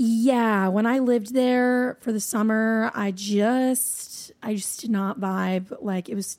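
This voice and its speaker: A woman with an American accent speaks at a medium pitch in a dark, mellow tone. Her pace is fairly slow and her intonation fairly even, in a very clean recording with a silent background. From New Hampshire, US. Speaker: pop singer-songwriter and producer. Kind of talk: casual chat.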